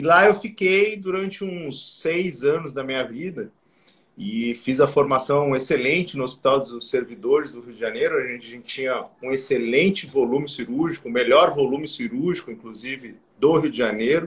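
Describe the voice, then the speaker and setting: A man's somewhat breathy voice at a moderate pace, with lively intonation and big swings in loudness. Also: fairly high pitch for a man. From southern Brazil, Porto Alegre (Rio Grande do Sul). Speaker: plastic surgeon. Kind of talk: live-stream interview.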